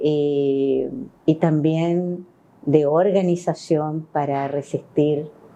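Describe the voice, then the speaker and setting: A woman's dark, mellow voice at a very deep, low pitch, very slow in pace, with fairly even intonation. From Chile, Valparaíso. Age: 60s. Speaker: former human rights official and union leader. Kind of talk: interview testimony.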